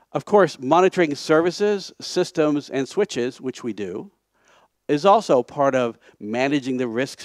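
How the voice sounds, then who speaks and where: With an American accent and lively intonation, a man speaks in a dry sound with no echo against a quiet background. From United States. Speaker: conference speaker, software project founder. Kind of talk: conference talk. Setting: stage. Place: hall.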